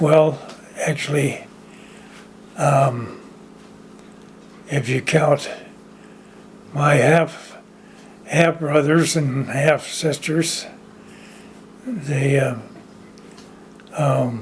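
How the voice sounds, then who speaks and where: Through noticeable background noise, a man talks at a very slow pace with long, frequent pauses, a fairly high pitch and fairly even intonation. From Orangevale, California (moved from Oklahoma as a child). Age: 90s. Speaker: oral history interviewee. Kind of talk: oral history interview. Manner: halting, many fillers.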